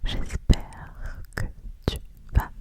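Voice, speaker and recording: Whispered speech from a woman against noticeable background noise. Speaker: ASMR creator. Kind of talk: ASMR whispered chat.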